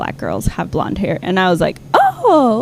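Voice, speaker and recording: A woman's medium-pitched voice with an American accent and very wide pitch swings, over noticeable background noise. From Texas (Austin), Ethiopian family. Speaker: singer-songwriter. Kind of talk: casual interview chat. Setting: studio.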